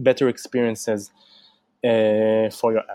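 A man's voice carries a dark, mellow tone. The sound is dry and close, with no echo. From Israel. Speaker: UX writing educator and founder. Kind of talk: interview.

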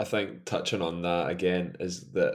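A man with a Scottish accent and a very deep, low pitch. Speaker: football fan pundit. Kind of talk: casual chat.

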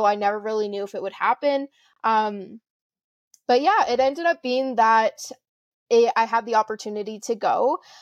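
Fairly high-pitched woman with a Canadian accent, a plain, everyday voice, ordinary pitch variation, and a moderate pace. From Alberta, Canada. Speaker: entrepreneur. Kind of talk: casual interview.

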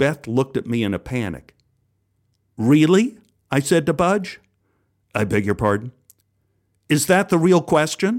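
Over a very clean recording with a silent background, the voice shows vocal fry and very wide pitch swings, broken by long, frequent pauses. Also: man, fairly high pitch for a man, moderate pace. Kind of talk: game show host patter. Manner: animated, brisk quizmaster with mock-dramatic flair.

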